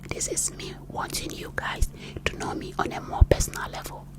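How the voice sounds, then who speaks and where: A woman whispers over noticeable background noise. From Ghana. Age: 30s. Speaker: ASMR creator. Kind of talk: personal testimony. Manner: whispered.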